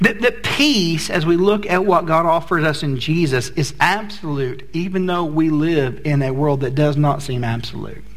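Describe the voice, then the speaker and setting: Speaking at a moderate pace with hardly any pauses, a man uses an unremarkable speaking voice, fairly high in pitch, with ordinary pitch variation. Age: 40s. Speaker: pastor. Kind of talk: sermon. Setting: church.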